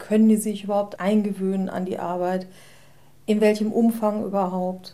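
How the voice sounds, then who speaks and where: A woman speaks at a moderate pace and medium pitch in a dark, mellow tone. Her intonation is monotone and flat. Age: 40s. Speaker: formerly long-term unemployed office worker. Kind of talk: interview.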